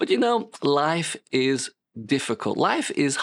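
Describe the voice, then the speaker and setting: This voice has a British accent. The recording is very clean, with a silent background. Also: man. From Britain. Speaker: pastor. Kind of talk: sermon.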